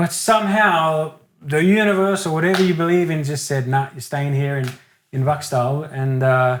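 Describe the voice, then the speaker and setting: On a very clean recording with a silent background, a man with an Australian accent speaks at a moderate pace in a fairly high voice with ordinary pitch variation. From Australia (Sydney), Italian-Australian family. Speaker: singer-songwriter. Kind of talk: casual interview chat. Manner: loud.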